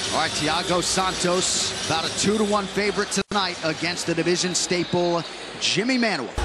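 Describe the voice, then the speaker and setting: Speaking at a moderate pace over music in the background, a man holds a high pitch with fairly even intonation and very even loudness. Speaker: fight commentator. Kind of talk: live fight commentary and broadcast narration. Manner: measured, polished broadcast delivery.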